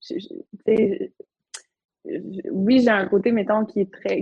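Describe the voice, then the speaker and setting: A woman's voice, somewhat breathy. Her pitch variation is ordinary. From Quebec, Côte-Nord (Havre-Saint-Pierre). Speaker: entrepreneur, paddleboard business owner. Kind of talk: casual interview.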